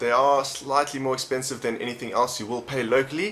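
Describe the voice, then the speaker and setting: A man speaks at a fairly high pitch with a South African accent. Noticeable background noise runs behind him. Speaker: vape reviewer. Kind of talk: product review. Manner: casual, conversational.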